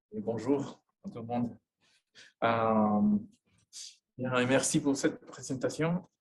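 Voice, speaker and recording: With a Spanish accent, a man speaks with ordinary pitch variation. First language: Spanish (speaking French). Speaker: sociologist, university professor. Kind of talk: lecture. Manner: halting, many hesitations.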